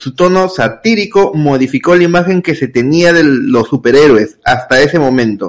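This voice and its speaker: A man's normal speaking voice, lively in intonation, at a moderate pace with hardly any pauses. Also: fairly high pitch for a man. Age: 20s. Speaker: podcast co-host. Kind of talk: reading aloud.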